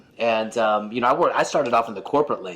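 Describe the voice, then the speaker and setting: A man's very fast speech at a medium pitch, with noticeable background noise. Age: 40s. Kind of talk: casual chat.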